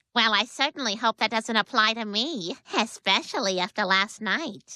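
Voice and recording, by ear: A female-sounding cartoonish character voice with fairly high pitch, a moderate pace, and a very clean recording over a silent background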